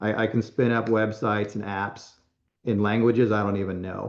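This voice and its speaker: A man talks at a moderate pace in a fairly low pitch. His intonation is monotone and flat. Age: 60s. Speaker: lean management consultant and presenter. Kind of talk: conference Q&A. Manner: halting, with frequent self-repeats.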